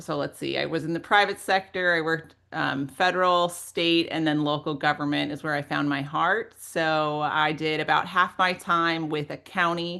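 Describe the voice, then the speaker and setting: Over a quiet background, a woman with a fairly low pitch speaks at a moderate pace in a bright, sharp tone, her intonation fairly even. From Minnesota, US Midwest. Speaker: local government leader, webinar speaker. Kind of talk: webinar interview.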